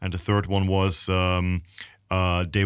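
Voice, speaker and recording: Speaking with a German accent, a man talks at a very slow pace in a very deep, low pitch with monotone, flat intonation, on a very clean recording with a silent background. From Germany. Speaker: podcast host, network marketer. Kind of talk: casual interview.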